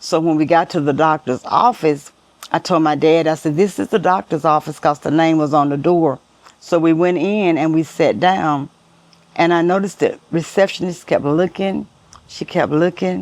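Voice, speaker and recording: A woman with an American accent speaks at a moderate pace. Her pitch is very deep and low, with ordinary variation. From US South, Arkansas (El Dorado). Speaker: interviewee sharing life story. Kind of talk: personal testimony interview.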